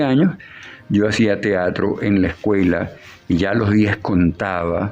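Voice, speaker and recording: A man at a very slow pace. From Venezuela, Maracaibo (Zulia). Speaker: puppeteer and writer. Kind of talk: interview.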